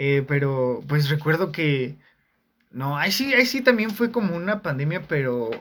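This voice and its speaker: A man with a Mexican accent speaks at a fairly slow pace, his fairly high pitch moving in very wide swings. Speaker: communication student. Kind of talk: casual chat.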